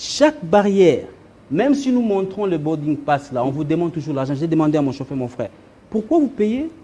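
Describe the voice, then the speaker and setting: A man's speech is moderately paced and lively in intonation. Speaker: diaspora businessman. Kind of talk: talk show interview. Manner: halting.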